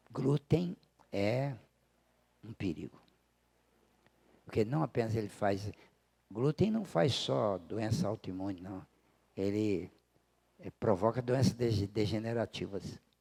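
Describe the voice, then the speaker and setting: Here a man speaks at a very slow pace, with long, frequent pauses and a fairly low pitch. His tone is dark and mellow, his intonation lively, and the sound is dry and close with no echo. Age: 80s+. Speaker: spiritist study teacher. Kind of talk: lecture. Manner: conversational.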